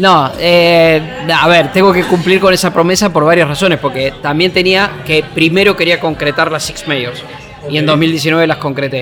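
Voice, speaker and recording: With crowd noise in the background, a man with a high pitch speaks at a moderate pace. His intonation is fairly even. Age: 50s. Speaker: sports journalist. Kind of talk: interview. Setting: café.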